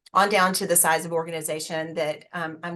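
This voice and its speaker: She has an American accent. The voice belongs to a woman. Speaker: HR executive. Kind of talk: webinar panel talk.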